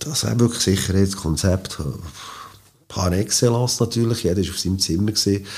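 A man with a fairly low pitch, ordinary pitch variation, a dark, mellow tone, a somewhat breathy quality and a very fast pace. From Switzerland, Biel. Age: 50s. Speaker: boogie-woogie pianist. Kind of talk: interview.

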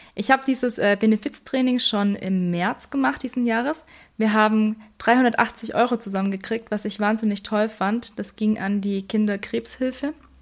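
This woman has a normal speaking voice with a fairly high pitch and ordinary pitch variation. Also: fairly slow pace, very clean recording, silent background. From Bavarian Swabia, Germany (Weißenhorn). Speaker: health and fitness podcast host, trainer. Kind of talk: casual explanatory podcast talk.

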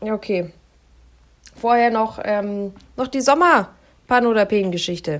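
A woman's fairly high voice with lively intonation, a fairly slow pace and long, frequent pauses. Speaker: podcast co-host, news presenter. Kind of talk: casual chat. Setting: on holiday abroad, remote recording.

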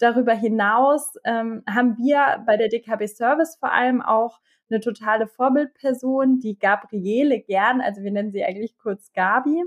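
A woman with a normal speaking voice, fairly high in pitch with ordinary pitch variation, speaks at a moderate pace with hardly any pauses in a dry, close recording with no echo. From Bavaria, Germany. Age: 30s. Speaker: transformation manager and youth education advocate. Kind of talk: podcast interview.

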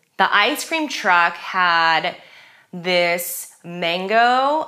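The tone is animated. The speaker has an American accent. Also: woman. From California, US. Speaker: bar owner. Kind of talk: casual chat.

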